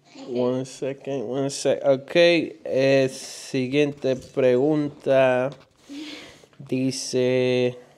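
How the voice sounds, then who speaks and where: A man's medium-pitched, monotone voice with flat intonation at a very slow pace, with noticeable background noise. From New York. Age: 20s. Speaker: family vlogger. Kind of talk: casual chat. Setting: livestream at home. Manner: halting.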